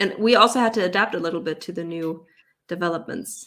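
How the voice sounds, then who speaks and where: A woman's medium-pitched voice in a German accent, bright and sharp in tone, at a moderate pace with ordinary pitch variation. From Germany, Cologne area, then US from age nine. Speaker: language teacher and online content creator. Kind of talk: livestream Q&A.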